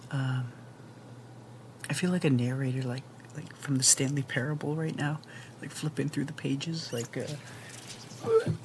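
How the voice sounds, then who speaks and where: Quiet and relaxed in tone, the speaker goes at a fairly slow pace with long, frequent pauses. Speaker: gaming commentator. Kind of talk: casual gameplay commentary. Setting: home recording late at night. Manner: quiet, keeping voice down; relaxed, many fillers and sighs.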